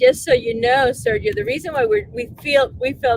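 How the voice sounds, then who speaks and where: A woman's voice over noticeable background noise. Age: 40s. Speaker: livestream host. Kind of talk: livestream commentary.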